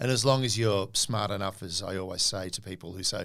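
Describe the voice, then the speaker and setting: In an Australian accent, the voice moves at a fairly quick pace with a bright, sharp tone and ordinary pitch variation on a very clean recording with a silent background. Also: man. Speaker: podcast co-host, comedian and former intelligence officer. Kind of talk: interview. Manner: fast; animated.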